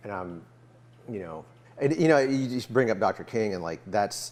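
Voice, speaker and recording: A man speaks with an American accent at a fairly slow pace. His intonation is lively. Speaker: musician interviewer. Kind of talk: casual interview chat. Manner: halting, many fillers.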